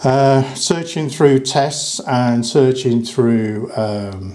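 A man talks at a very slow pace. His intonation is fairly even and his tone slightly mellow.

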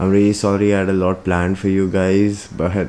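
A man's very deep, low voice at a moderate pace, with light background noise. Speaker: vlogger. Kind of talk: casual vlog chat. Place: home room. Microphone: phone near.

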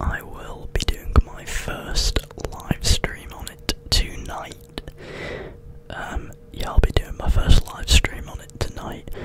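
Over loud background noise, a soft-spoken man whispers in a dry sound with no echo. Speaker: ASMR streamer. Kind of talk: casual vlog chat. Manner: slow soft whisper close to microphone. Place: home room. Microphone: studio mic.

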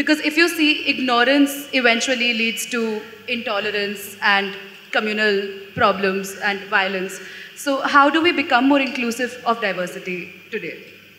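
Speech at a moderate pace with audible room echo and light background noise. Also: woman. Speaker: student moderator. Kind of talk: moderated Q&A. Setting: stage with audience. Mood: earnest, thoughtful. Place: stage. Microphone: handheld.

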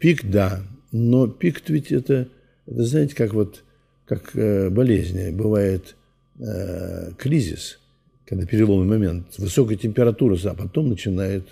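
Speaking at a very slow pace with long, frequent pauses, a man with a fairly low pitch and a dark, mellow tone sounds somewhat breathy, his intonation lively. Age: 80s+. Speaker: Orthodox priest. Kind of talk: interview.

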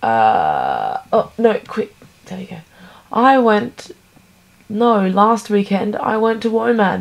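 In an Australian accent, a woman with a fairly high pitch speaks at a very slow pace, using lively intonation, big swings in loudness and long, frequent pauses. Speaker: vlogger. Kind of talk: casual vlog monologue.

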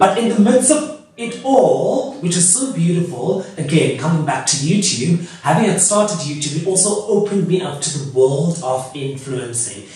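A man talks at a moderate pace. There is strong echo in the room. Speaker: YouTuber. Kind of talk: casual vlog chat. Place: home room. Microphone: camera far.

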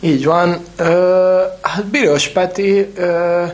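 Noticeable background noise beneath a man's voice, high in pitch. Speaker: water polo podcast co-host. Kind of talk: casual chat.

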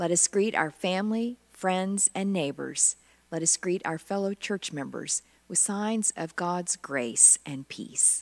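A woman's very slow speech with ordinary pitch variation. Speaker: minister. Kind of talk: worship welcome and announcements. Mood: warm, calm. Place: church.

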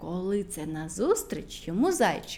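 Her tone is dark and mellow. This woman's pitch makes big swings.

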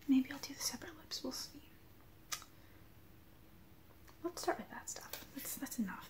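A woman whispers at a moderate pace. Her loudness swings a lot. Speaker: vlogger. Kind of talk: casual vlog chat. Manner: quiet, soft-spoken musing. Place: home room. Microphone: webcam.

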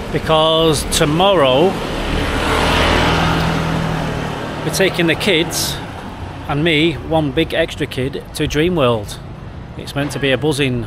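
Over noticeable background noise, a man speaks at a fairly slow pace with long, frequent pauses and fairly even intonation, the sound dry with no echo. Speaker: travel vlogger. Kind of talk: casual vlog chat. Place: street. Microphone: phone near.

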